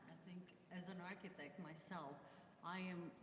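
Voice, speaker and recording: A woman talks at a moderate pace in a somewhat breathy, fairly low voice. Room echo is audible. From Romania, Bucharest. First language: Romanian. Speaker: architect. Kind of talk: panel discussion. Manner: halting.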